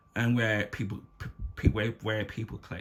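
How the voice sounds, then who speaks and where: A man speaks at a fairly quick pace, his fairly low-pitched voice somewhat breathy. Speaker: YouTube commentator. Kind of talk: unscripted rant. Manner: halting.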